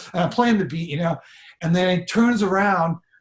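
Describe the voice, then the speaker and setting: A man with an American accent, ordinary pitch variation, and a moderate pace. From northern California (Sacramento). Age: 60s. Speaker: drummer. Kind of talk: casual interview storytelling. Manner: animated, with frequent repetitions and fillers.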